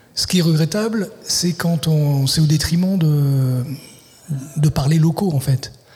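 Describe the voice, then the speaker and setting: A man talks very slowly in a fairly high voice with ordinary pitch variation. His tone is dark and mellow. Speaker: literary translator and writer. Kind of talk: radio interview. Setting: live broadcast at a festival venue. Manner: halting, many repetitions.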